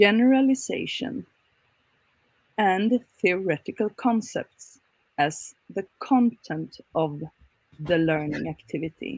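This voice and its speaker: A woman speaks at a very slow pace in a medium pitch, her somewhat breathy voice swinging very widely in pitch, with long, frequent pauses and a dry, close sound with no echo. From Sweden. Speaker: academic researcher. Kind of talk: conference presentation.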